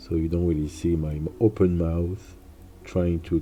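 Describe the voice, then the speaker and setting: A man's very deep, low voice in a French accent, very slow, with ordinary pitch variation and music in the background. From France. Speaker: illustrator and streamer. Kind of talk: live stream drawing tutorial commentary. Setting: home desk corner, live stream. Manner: halting, with frequent repetitions.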